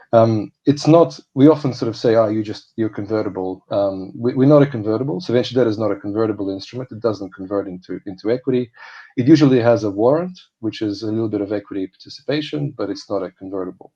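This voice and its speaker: A man with a non-native accent talks at a very fast pace with hardly any pauses. His tone is dark and mellow. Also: medium pitch for a man, ordinary pitch variation. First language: not Polish. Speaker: panel moderator. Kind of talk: panel discussion.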